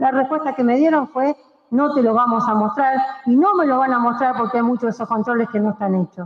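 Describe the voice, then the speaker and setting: A woman speaks at a fairly quick pace and high pitch, with very even loudness and ordinary pitch variation. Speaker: city councillor. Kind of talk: council debate speech. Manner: fast.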